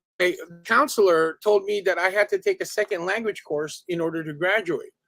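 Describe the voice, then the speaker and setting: Music plays in the background of a dry, close recording with no echo. The speaker moves at a fairly quick pace with ordinary pitch variation. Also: man, high pitch for a man. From Filipino immigrant raised in Southern California. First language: Tagalog. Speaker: martial arts instructor. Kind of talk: casual interview chat. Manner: hesitant, many fillers.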